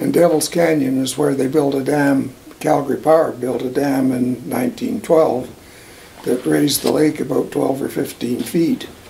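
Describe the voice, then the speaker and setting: A man at a fairly high pitch and moderate pace, with fairly even intonation, over noticeable background noise. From Alberta, Canada. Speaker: oral history interviewee. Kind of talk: oral history interview.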